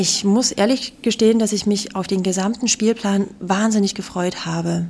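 This is a woman talking at a medium pitch. Her pace is moderate. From Saxony, Radebeul near Dresden. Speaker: theatre costume maker. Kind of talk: interview. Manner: hesitant, many fillers.

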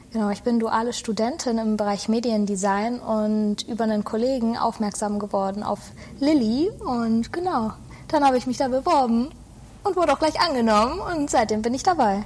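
A woman talks at a moderate pace in a fairly high pitch with ordinary pitch variation. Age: 20s. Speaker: media design student and social media employee. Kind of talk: casual interview.

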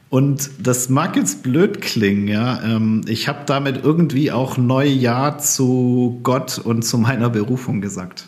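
A man with a medium pitch speaks very slowly, using ordinary pitch variation. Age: 40s. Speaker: former missionary and refugee aid worker. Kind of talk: casual chat.

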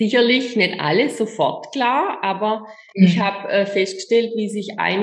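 A woman with a medium-pitched voice talks at a fairly slow pace. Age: 50s. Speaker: image coach. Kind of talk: interview. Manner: halting.

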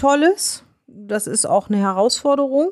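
A woman with a normal speaking voice, lively intonation and a fairly slow pace. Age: 50s. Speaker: nurse. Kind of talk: interview.

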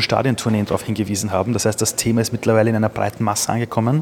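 A man talking at a very fast pace with medium pitch, plus noticeable background noise. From Austria. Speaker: entrepreneur. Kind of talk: interview. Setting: press conference sidelines.

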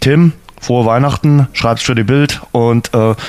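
This man's voice sits at a medium pitch with ordinary pitch variation, and he talks at a fairly slow pace. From Dresden, Saxony. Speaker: podcast host. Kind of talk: casual chat.

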